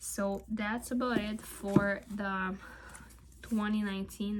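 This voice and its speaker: A woman's medium-pitched voice in a flat monotone, with noticeable background noise. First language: not English (English is third language). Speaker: tarot video creator. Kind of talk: casual vlog talk. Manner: hesitant, with fillers.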